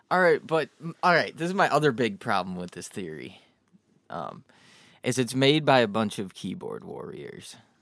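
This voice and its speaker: A man with vocal fry talks at a moderate pace and fairly high pitch, his pitch swinging very widely and his loudness shifting a lot, on a very clean recording with a silent background. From born in Ohio. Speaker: music producer. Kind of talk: casual chat.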